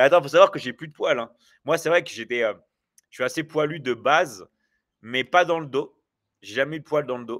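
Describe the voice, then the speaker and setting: A man speaks at a fairly quick pace and a fairly high pitch, with ordinary pitch variation and big swings in loudness. He takes long, frequent pauses in a very clean recording with a silent background. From France. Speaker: online business coach and livestreamer. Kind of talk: live stream chat with viewers. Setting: livestream. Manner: hesitant, many fillers.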